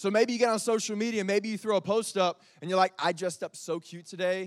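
An animated man at a fairly quick pace, dry and close with no echo, in a very clean recording with a silent background. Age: 30s. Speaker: youth pastor. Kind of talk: sermon. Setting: stage with audience.

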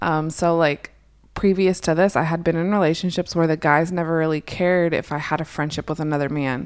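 A woman's monotone, flat delivery in a very clean recording with a silent background. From US, Puerto Rican family, New Holland, Pennsylvania. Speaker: podcast co-host. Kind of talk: casual chat. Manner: direct, blunt.

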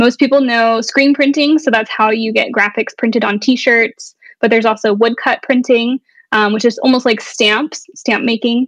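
A woman speaks at a moderate pace with a Texan accent, her pitch fairly high and her intonation fairly even. The loudness stays very even, and the sound is dry and close with no echo. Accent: Texan American. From Texas, Dallas. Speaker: artist and art professor. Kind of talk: interview.

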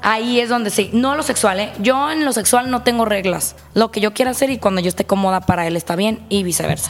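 A woman talks at a fairly quick pace with hardly any pauses, her fairly high pitch showing ordinary pitch variation. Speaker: swinger guest. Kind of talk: casual chat. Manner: animated.

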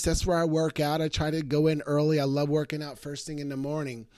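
On a very clean recording with a silent background, a man with an unremarkable speaking voice talks at a fairly quick pace and a fairly high pitch. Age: 50s. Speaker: motivational podcast host. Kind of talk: motivational monologue.

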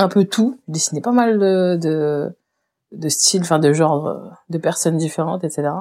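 On a very clean recording with a silent background, a woman's pitch shifts in an ordinary way as she talks. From Réunion. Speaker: painter and illustrator. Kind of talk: interview conversation. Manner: hesitant, many fillers.

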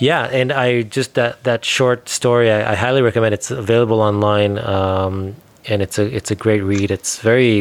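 The man has an unremarkable speaking voice at a medium pitch with fairly even intonation. He speaks with hardly any pauses. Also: moderate pace. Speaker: podcast host. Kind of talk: interview conversation.

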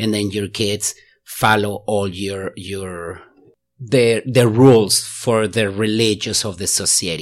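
At a very slow pace, a man with a Mexican accent speaks at a fairly low pitch with fairly even intonation. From Mexico. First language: Spanish. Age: 40s. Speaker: lawyer. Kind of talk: casual interview. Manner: halting.

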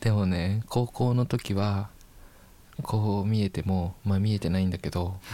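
The recording is very clean, with a silent background, and a man speaks at a fairly slow pace. His tone is dark and mellow, his pitch fairly low, and his intonation fairly even. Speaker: university broadcasting student. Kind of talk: casual chat.

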